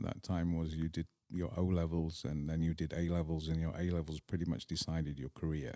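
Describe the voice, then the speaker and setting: A man's very deep, low pitch and dark, mellow tone, in a dry, close sound with no echo. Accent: English. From northern England, Manchester. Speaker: polo club owner. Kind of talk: interview conversation.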